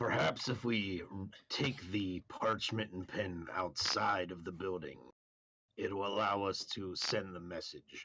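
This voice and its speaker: Someone uses a raspy, put-on character voice at a fairly slow pace. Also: man, fairly low pitch for a man. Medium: actual play. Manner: formal, measured.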